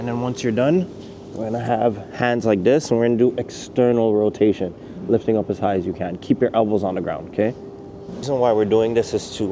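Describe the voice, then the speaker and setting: A man speaks at a fairly quick pace with a fairly low pitch and ordinary pitch variation. Noticeable background noise runs under the recording. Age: 30s. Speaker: calisthenics coach. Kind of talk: tutorial.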